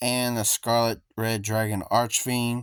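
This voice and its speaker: In a very clean recording with a silent background, a man with a plain, everyday voice speaks at a medium pitch and a fairly slow pace. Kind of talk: casual gameplay commentary.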